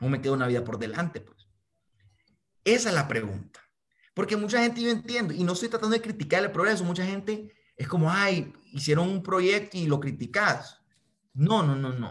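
A man speaks in a Honduran accent at a moderate pace. His pitch swings very widely. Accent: Honduran Spanish (voseo). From Honduras. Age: 20s. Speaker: young activist and aspiring politician; interviewee. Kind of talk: interview. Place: home room. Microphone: video call.

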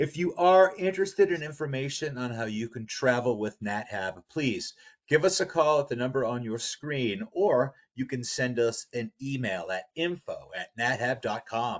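A man has an unremarkable speaking voice at a medium pitch, with lively intonation. He talks at a moderate pace with hardly any pauses. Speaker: webinar host. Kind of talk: webinar host introductions and Q&A. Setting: webinar.

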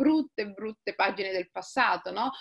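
A woman speaks in an unremarkable speaking voice at a moderate pace with lively intonation. The background is quiet. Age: 40s. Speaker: writer. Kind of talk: interview conversation. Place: home room. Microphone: webcam.

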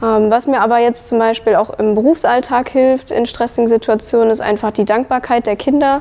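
A woman's fairly high voice at a moderate pace, with very even loudness. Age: 20s. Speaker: early childhood educator; trained childcare educator. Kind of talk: testimony. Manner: hesitant, many fillers. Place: hall. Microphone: lapel.

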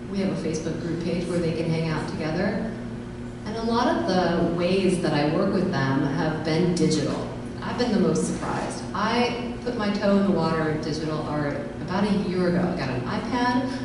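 A raspy woman's voice, fairly low in pitch, at a moderate pace with ordinary pitch variation, with audible room echo and clear background noise.

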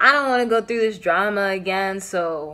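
The woman's pitch varies in an ordinary way, and she keeps a moderate pace. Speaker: tarot reader. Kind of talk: casual tarot reading chat. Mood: calm, reassuring. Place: home room. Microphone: phone near.

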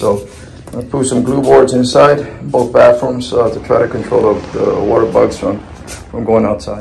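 The man keeps a moderate pace. Behind him, music plays faintly. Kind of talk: tutorial. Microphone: phone near.

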